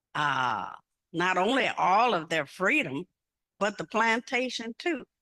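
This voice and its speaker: A woman with an American accent, medium pitch, very wide pitch swings, vocal fry, and a bright, sharp tone, at a fairly slow pace in a dry, close sound with no echo. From US Midwest (Indiana). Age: 80s+. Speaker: convention speaker. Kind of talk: public speech. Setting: conference hall with audience.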